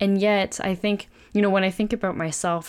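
On a very clean recording with a silent background, a plain, everyday voice talks at a medium tempo, its pitch rising and falling in a normal way. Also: woman. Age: 20s. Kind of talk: casual faith discussion.

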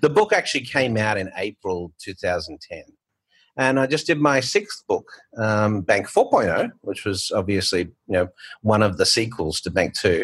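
Speaking at a fairly slow pace, a man talks in an Australian accent. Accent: Australian, retained despite years abroad. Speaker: fintech founder and author. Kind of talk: casual interview chat.

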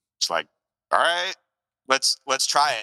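A man speaks with an American accent and a bright, sharp tone. The sound is dry and close with no echo, in a very clean recording with a silent background. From US, New Jersey and Milwaukee. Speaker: musician. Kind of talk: casual chat.

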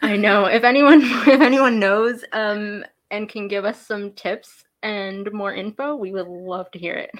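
Talking at a fairly slow pace with hardly any pauses, a woman with a normal speaking voice uses a fairly high pitch, ordinary pitch variation and big swings in loudness. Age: 20s. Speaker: podcast host. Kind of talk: casual chat.

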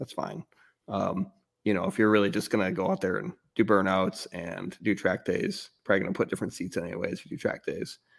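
A man talks in a plain, everyday voice, fairly low in pitch with lively intonation. The recording is very clean, with a silent background. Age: 40s. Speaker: car podcast co-host. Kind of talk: casual chat.

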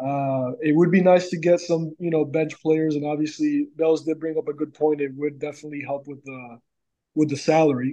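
With a dark, mellow tone, a man of fairly high pitch talks at a moderate pace with fairly even intonation. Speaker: sports fan guest. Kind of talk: casual sports talk podcast.

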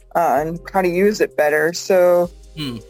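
A plain, everyday voice with an American accent and fairly even intonation. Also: woman. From US Northeast, Massachusetts. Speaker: interior designer. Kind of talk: interview.

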